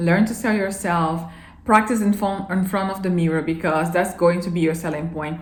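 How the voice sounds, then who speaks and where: A woman with a non-native accent talks very fast at a fairly low pitch with ordinary pitch variation, amid noticeable background noise and audible room echo. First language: not English. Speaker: vlogger. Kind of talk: casual advice vlog. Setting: filming alone to camera. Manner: halting at times.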